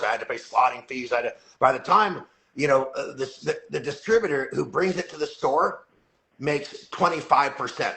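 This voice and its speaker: A man talks at a fairly quick pace in an ordinary speaking voice, with ordinary pitch variation. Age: 60s. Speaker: company CEO. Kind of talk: casual interview chat. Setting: live video call.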